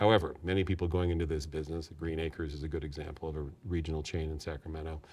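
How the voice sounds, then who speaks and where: A man's very deep, low voice with a Californian accent, very fast and monotone, with flat intonation and hardly any pauses. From US West Coast (San Diego, California). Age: 60s. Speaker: nursery owner, entrepreneur. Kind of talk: interview.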